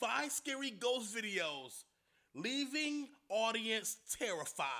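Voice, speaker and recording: In a raised, projected voice, a man speaks with a bright, sharp, animated tone. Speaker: YouTube reaction host. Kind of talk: reaction commentary. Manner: loud. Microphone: new equipment, too loud.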